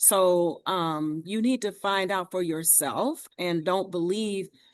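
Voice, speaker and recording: Over a quiet background, a woman with an unremarkable speaking voice talks at a fairly low pitch with ordinary pitch variation. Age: 60s. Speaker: community organization leader. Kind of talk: panel discussion response.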